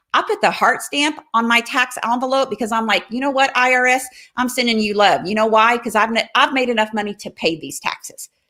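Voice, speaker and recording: A woman talks at a fairly quick pace with hardly any pauses, her voice fairly high and her tone bright and sharp. Her pitch varies in an ordinary way, and the recording is very clean with a silent background. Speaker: motivational coach running workshops. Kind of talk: live stream talk to viewers. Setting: home office livestream. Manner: fast; animated, rambling on a roll.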